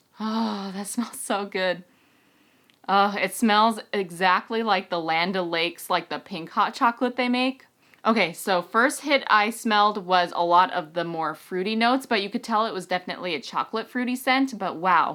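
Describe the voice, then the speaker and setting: A woman speaks in an animated, bright, sharp tone with ordinary pitch variation. The background is quiet. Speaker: beauty and fragrance reviewer; fragrance reviewer. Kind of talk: product review vlog. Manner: fast. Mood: warm, delighted. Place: home room.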